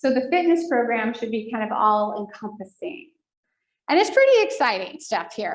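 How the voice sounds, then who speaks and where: Her voice high, a woman speaks with very wide pitch swings. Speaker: foundation staff presenter at senior living community. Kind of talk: presentation to residents. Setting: room with in-person audience and online viewers. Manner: fast.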